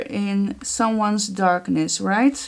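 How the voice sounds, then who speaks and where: A very slow delivery with ordinary pitch variation. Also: woman. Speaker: art journaling creator. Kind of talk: tutorial. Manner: casual, chatty with filler words.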